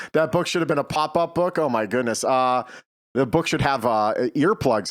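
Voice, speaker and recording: A man with a Boston accent speaks at a moderate pace and a fairly high pitch, with lively intonation and an animated tone. His loudness stays very even on a very clean recording with a silent background. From Boston area, US. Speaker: talk show host. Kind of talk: casual live stream chat. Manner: animated, many fillers.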